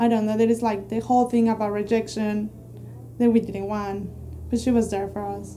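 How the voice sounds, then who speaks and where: Her tone dark and mellow, a woman speaks at a fairly quick pace with monotone, flat intonation. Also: fairly high pitch for a woman. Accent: Spanish. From Mexico. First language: Spanish. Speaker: immigrant, immigration client. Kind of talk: testimonial interview. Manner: halting.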